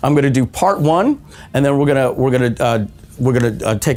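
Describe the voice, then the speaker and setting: A man talks very fast in a medium register, his pitch varying in an ordinary way. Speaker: webinar presenter and marketer. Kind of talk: live webinar sales training. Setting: studio, live stream. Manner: energetic, enthusiastic.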